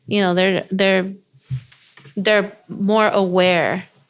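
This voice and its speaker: A woman talks at a very slow pace. Her fairly low voice stays monotone and flat. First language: Yoeme and Spanish. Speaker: beauty brand founder. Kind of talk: casual chat. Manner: articulate.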